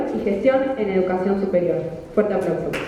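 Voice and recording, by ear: Audible room echo surrounds a woman's voice. She speaks with lively intonation.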